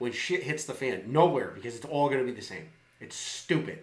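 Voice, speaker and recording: Audible room echo surrounds a man who talks fairly quickly. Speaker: live streamer. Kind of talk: political rant. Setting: live stream. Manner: animated; loud.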